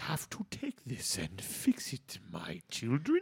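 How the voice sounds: A put-on character voice at a low-to-middle pitch with a fairly slow pace.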